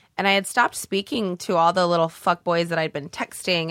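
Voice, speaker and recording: A woman speaks at a fairly quick pace in a fairly low pitch, recorded very cleanly against a silent background with a dry, close sound and no echo. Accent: American. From US Northwest, Oregon (small town). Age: 20s. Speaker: comedian and stripper. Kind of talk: casual chat. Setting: studio. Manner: fast; animated.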